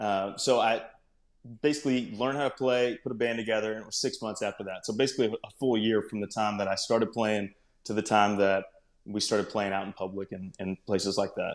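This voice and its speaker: A man with a Texan accent talks at a fairly quick pace in a fairly low pitch. His intonation stays fairly even, and the recording is very clean with a silent background. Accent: Texan (US Southern). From North Texas. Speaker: country singer-songwriter. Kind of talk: interview.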